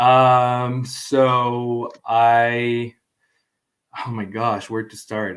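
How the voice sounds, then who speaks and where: A man talks with a medium pitch. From Mexico. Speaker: videographer and guest co-host. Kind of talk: casual interview.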